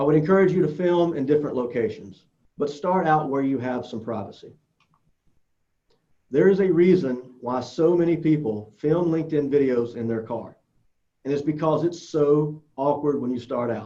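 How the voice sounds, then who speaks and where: Ordinary pitch variation and a dark, mellow tone come through in a strong Southern US accent. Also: man, fairly high pitch for a man. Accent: strong Southern US drawl. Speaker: social media speaker. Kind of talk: conference presentation.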